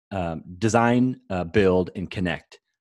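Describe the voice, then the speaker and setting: This man speaks in an American accent with a very deep, low pitch and ordinary pitch variation. The background is quiet. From US Midwest, Iowa. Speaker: agency general manager, designer. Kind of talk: casual interview. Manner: halting, many fillers and repetitions.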